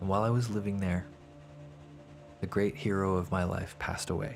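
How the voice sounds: A man with a low pitch and vocal fry speaks at a moderate pace, his intonation fairly even.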